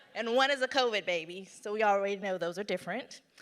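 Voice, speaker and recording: A woman has a bright, sharp tone with ordinary pitch variation. She speaks with a slight Southern US accent. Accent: slight Southern drawl. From US South, North Carolina. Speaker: business owner, conference speaker. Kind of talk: conference talk.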